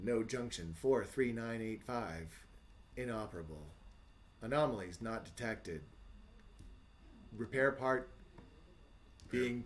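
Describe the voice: A robotic put-on character voice from a man at a medium pitch, fairly slow with long, frequent pauses, over clear background noise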